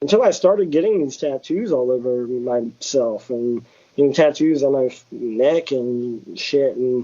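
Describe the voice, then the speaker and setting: A man with a Southern US accent, medium pitch, ordinary pitch variation and a fairly slow pace. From US South, Georgia. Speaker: tattoo artist. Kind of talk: casual interview chat. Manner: repeats words, halting starts.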